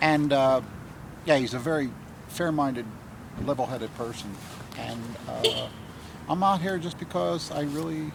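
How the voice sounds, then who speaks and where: Amid audible room echo and noticeable background noise, a man speaks at a fairly high pitch with lively intonation. He keeps a moderate pace but leaves long, frequent pauses. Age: 70s. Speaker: campaign volunteer. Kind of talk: interview.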